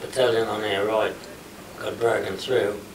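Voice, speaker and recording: A man at a medium pitch, monotone and flat, with an Australian accent, at a moderate pace over noticeable background noise. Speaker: war veteran. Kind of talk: interview answer. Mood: relaxed reminiscing storytelling. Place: meeting room. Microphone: camera far.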